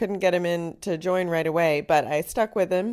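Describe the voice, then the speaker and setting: A woman with an unremarkable speaking voice, a medium pitch and an American accent talks at a moderate pace with ordinary pitch variation. The recording is very clean with a silent background. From North Carolina, US South. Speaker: high school music director. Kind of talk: interview.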